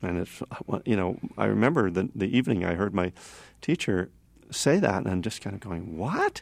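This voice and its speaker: Recorded very cleanly against a silent background, a man talks at a moderate pace with ordinary pitch variation. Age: 50s. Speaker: author and Buddhist teacher on recovery. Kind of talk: interview. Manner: halting.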